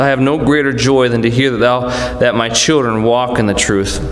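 Through light background noise and audible room echo, a man speaks at a moderate pace with fairly even intonation. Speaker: Sunday school teacher. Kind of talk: sermon. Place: church. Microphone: podium.

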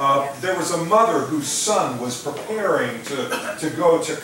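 A man speaks at a very slow pace with very wide pitch swings, amid audible room echo and light background noise. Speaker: pastor. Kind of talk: sermon. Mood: warm, lightly humorous. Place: church.

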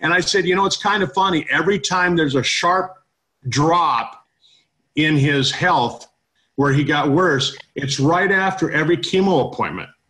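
This man's voice sits high in pitch and has a bright, sharp tone, moving at a moderate pace with ordinary pitch variation. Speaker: network marketing host. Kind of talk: online testimonial meeting. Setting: online call.

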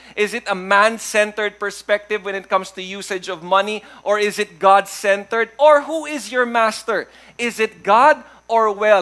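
A man's raised, projected voice, bright and sharp in tone, with ordinary pitch variation. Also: moderate pace. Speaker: pastor preaching. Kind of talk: sermon. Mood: warm, humorous. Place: church.

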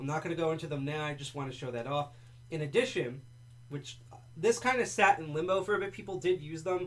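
Somewhat breathy, a man with an American accent talks at a fairly high pitch with ordinary pitch variation. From New Jersey, US. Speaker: livestream host, lockpicking hobbyist. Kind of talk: casual livestream presentation. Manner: casual, rambling, jokey.

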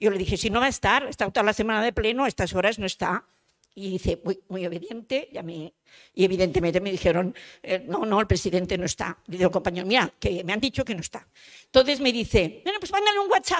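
A woman talks at a very fast pace with ordinary pitch variation against a quiet background. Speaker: housing activist; panelist. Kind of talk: panel testimony. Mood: storytelling, good-humoured. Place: hall. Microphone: handheld.

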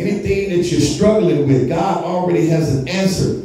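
Strong room echo and light background noise surround a man whose pitch swings very widely. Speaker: pastor. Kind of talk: sermon. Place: church.

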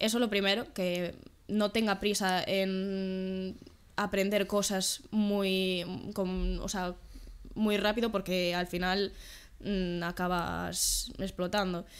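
A woman talks at a very slow pace in a monotone, flat intonation. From Galicia, Spain (Vigo); Galicia, Spain. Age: 20s. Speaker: trampoline gymnast and sports science student; podcast guest. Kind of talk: casual interview. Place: home room.

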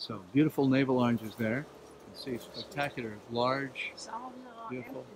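Long, frequent pauses from a man at a moderate pace, fairly even in intonation, over noticeable background noise. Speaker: raw vegan health educator and channel host; raw vegan health educator, channel host. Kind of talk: casual garden tour video. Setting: outdoors in a garden. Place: garden. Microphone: phone near.

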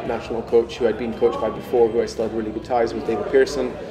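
Loud background noise nearly competes with the man who is talking. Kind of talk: interview answer. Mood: reflective, calm. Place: office.

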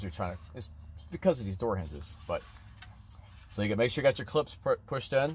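There is light background noise as a man talks at a fairly quick pace in a dry sound with no echo. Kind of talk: tutorial. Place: street. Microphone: phone near.

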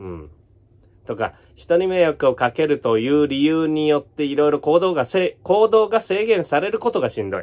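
A man's fairly high voice with very wide pitch swings, against a quiet background. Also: moderate pace. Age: 40s. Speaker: YouTuber and entertainer; YouTuber. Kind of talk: casual vlog monologue. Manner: casual, mumbling asides. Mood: wry, amused complaint. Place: home room. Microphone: phone near.

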